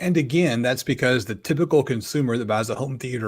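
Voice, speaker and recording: Fairly quick and at medium pitch, a man speaks with ordinary pitch variation. The recording is very clean, and the background is silent. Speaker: audio show co-host. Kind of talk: casual tech chat. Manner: fast.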